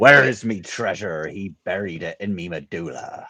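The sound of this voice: A put-on character voice from a man, fairly low in pitch, at a moderate pace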